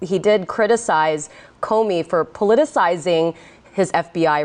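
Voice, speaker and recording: In an ordinary speaking voice, a woman talks with a fairly low pitch. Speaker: TV news anchor. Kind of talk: TV news anchoring and interviewing. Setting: studio.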